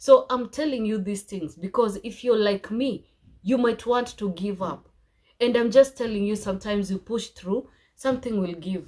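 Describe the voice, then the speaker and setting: A woman with an unremarkable speaking voice talks at a moderate pace. Her pitch is fairly high and varies in an ordinary way. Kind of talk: casual talk to camera.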